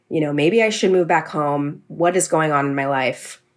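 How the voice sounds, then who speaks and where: This woman talks at a fairly quick pace with an American accent, her pitch very deep and low. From California. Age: 20s. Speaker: podcast producer. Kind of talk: interview.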